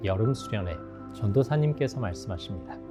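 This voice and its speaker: Over music in the background, a man with a fairly low pitch speaks with very wide pitch swings. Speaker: former broadcast announcer and TV host. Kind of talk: personal testimony interview answer.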